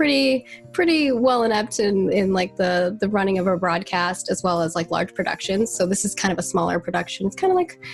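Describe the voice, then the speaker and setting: Music sounds in the background. A woman talks at a fairly quick pace. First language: not English. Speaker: community marketing lead at a game studio. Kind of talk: casual podcast interview. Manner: chatty, fast, many fillers and restarts.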